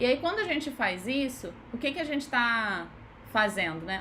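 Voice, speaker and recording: A woman speaks at a high pitch and a moderate pace. Room echo can be heard. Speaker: physiotherapist. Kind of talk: live online lecture. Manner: casual conversational.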